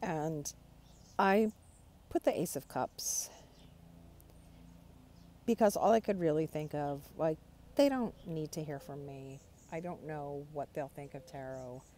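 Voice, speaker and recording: A woman's very deep, low voice with a dark, mellow tone, a fairly slow pace and long, frequent pauses. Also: ordinary pitch variation. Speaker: tarot hobbyist. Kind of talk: casual talk to camera. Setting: outdoors.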